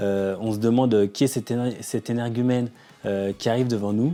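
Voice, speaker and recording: Over music in the background, a man speaks at a fairly quick pace and medium pitch with fairly even intonation. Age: 40s. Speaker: developer and startup co-founder. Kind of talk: documentary interview. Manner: hesitant, many fillers.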